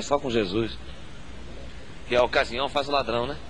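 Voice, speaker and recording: Noticeable background noise and audible room echo accompany a man speaking in a medium pitch. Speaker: pastor. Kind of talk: sermon. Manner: animated.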